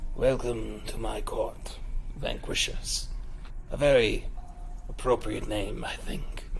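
Over clear background noise, a man uses a put-on character voice at a fairly slow pace with long, frequent pauses. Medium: actual play. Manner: formal, measured.

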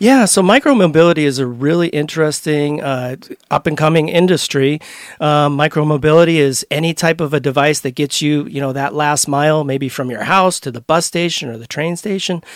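A man's ordinary speaking voice, fairly high in pitch, at a fairly quick pace with ordinary pitch variation. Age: 40s. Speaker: event founder. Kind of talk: casual interview. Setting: studio.

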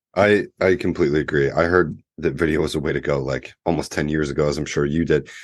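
Over a quiet background, a man with a very deep, low pitch and vocal fry talks at a very fast pace. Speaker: podcast host. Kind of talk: casual interview chat. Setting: video call.

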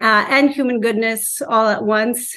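Against a quiet background, a woman talks at a fairly slow pace with a fairly high pitch. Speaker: teacher. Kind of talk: interview. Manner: halting.

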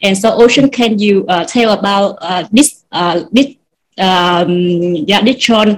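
A woman with a Vietnamese accent talks at a fairly slow pace, her medium-pitched voice showing ordinary pitch variation. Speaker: writer. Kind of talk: interview. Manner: halting.

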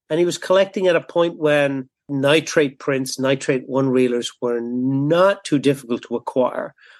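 This man has an American accent and a moderate pace. There is ordinary variation in his pitch. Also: quiet background. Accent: Irish-Boston dialect. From Ireland, Dublin. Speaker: documentary filmmaker and film professor. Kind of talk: interview conversation.

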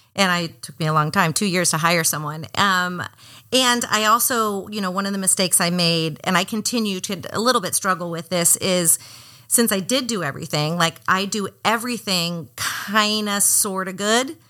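With an American accent, a woman speaks at a medium pitch in a bright, sharp tone on a very clean recording with a silent background. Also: ordinary pitch variation, moderate pace. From Miami, Florida. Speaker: yoga studio owner. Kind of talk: interview.

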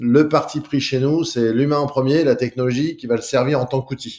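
This man talks fairly slowly at a medium pitch, and his pitch varies in an ordinary way. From France, Lyon. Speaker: real estate agency co-founder. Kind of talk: interview. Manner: halting, many hesitations and repetitions.

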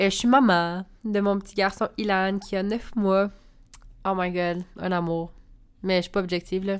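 In a Quebec accent, a woman speaks at a medium pitch with monotone, flat intonation on a very clean recording with a silent background. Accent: Québécois French. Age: 20s. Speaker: podcast host, spiritual coach and entrepreneur. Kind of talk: casual monologue.

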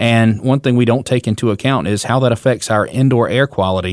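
A man talks at a fairly quick pace in a plain, everyday voice, medium in pitch with fairly even intonation. The recording is very clean, with a silent background. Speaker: roofing contractor and show host. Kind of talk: casual chat.

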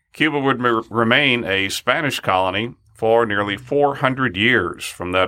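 A man with a normal speaking voice, a fairly quick pace and ordinary pitch variation. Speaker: podcast co-host. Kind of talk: interview. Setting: studio.

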